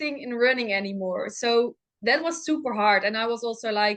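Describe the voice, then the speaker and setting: Against a quiet background, a woman with a high pitch and a Dutch accent talks at a moderate pace with ordinary pitch variation. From Netherlands. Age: 20s. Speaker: professional runner. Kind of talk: podcast interview. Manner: hesitant, many fillers.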